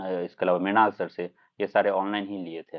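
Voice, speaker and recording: Speaking at a moderate pace, a man keeps his fairly low voice monotone and flat. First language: Maithili (speaking Hindi). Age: 20s. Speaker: civil services exam topper. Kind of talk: live-stream Q&A interview.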